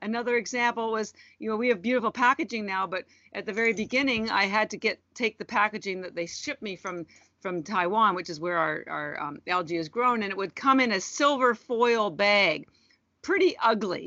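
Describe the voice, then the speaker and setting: With a Canadian accent and a normal speaking voice, a woman talks fairly quickly at a fairly high pitch with lively intonation. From Canada. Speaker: entrepreneur. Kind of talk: interview.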